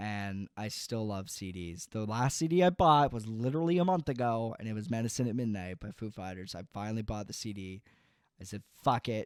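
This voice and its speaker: With a Canadian accent, a man talks at a fairly quick pace and medium pitch, using lively intonation and big swings in loudness, in a dry, close sound with no echo on a very clean recording with a silent background. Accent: sounds Canadian. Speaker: podcast host. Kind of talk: casual chat.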